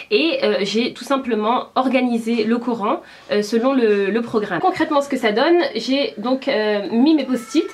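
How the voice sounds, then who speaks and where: A woman speaks at a fairly slow pace with a high pitch. Noticeable background noise is present. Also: ordinary pitch variation. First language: Berber (speaking French). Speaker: YouTuber. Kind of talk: vlog tutorial. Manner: hesitant, many fillers.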